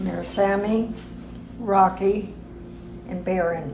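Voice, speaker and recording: A woman's medium-pitched voice with an American accent, fairly even intonation and a moderate pace, with audible room echo and noticeable background noise. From California, US West Coast (Compton). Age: 90s. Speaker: retired racing driver. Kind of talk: personal reminiscence interview.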